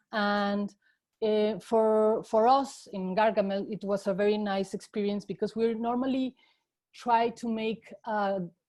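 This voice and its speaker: In a quiet setting, a woman with a Spanish accent speaks at a medium pitch in a dark, mellow tone. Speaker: educational game developer. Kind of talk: panel presentation. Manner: hesitant, many fillers.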